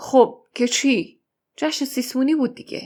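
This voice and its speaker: A raspy, put-on character voice. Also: woman. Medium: read story.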